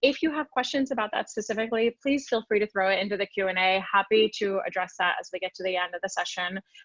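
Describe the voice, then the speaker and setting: With an American accent, a woman talks very fast at medium pitch, with ordinary pitch variation, hardly any pauses, and a dry, close sound with no echo. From US South, Florida (Orlando). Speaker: sales expert, webinar speaker. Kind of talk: webinar presentation.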